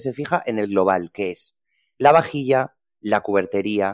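A man with ordinary pitch variation in a dry, close sound with no echo and a very clean recording over a silent background. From Spain, Ponferrada (León). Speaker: hotel PR manager and food blogger. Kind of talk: interview.

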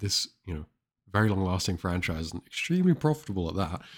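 A very deep, low-pitched man's voice with ordinary pitch variation comes through on a very clean recording with a silent background. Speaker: podcast host. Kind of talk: casual chat.

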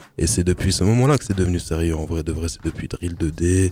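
A man speaks with a very deep, low pitch while music plays in the background. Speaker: rapper. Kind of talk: casual interview.

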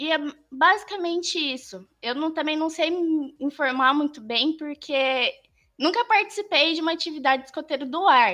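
Raised and projected, a woman's high, bright, sharp voice moves at a moderate pace with lively intonation. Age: 20s. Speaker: scout leader and YouTuber. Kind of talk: casual chat.

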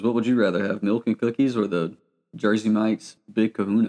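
A man talks at a fairly quick pace, in medium pitch with an unremarkable speaking voice. The sound is dry and close, with no echo. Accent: American. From US South, Georgia. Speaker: podcast co-host. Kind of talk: casual chat.

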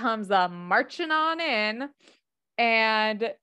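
Over a quiet background, lively intonation marks this plain reading aloud.

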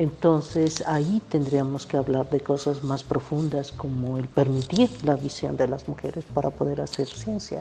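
A woman with a very deep, low voice talks fairly slowly, with hardly any pauses. Her intonation is fairly even, over noticeable background noise. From Mexico, Veracruz (Xalapa). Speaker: environmental scientist, professor. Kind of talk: interview. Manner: halting.

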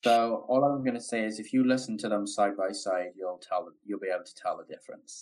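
This man speaks fairly quickly. Pauses are hardly present. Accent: American. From London, England. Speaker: guest. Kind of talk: casual interview chat.

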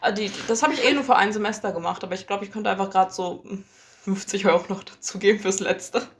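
Very fast speech from a woman at a medium pitch, ordinary pitch variation, noticeable background noise behind her. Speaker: podcast co-host. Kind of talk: casual chat. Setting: same room recording. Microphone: low quality recording.

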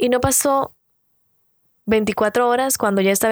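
On a very clean recording with a silent background, a woman talks with fairly even intonation. The sound is dry and close, with no echo. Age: 30s. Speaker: podcast host and beauty vlogger. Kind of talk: casual motivational monologue.

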